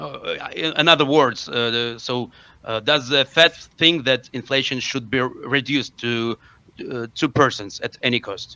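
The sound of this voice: At a fairly slow pace, a man speaks at medium pitch with a bright, sharp tone, vocal fry and ordinary pitch variation.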